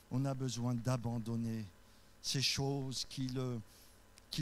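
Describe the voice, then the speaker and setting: This is a man speaking. Room echo is audible. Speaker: pastor. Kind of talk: sermon. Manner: voice rises high when carried away; occasionally stumbling.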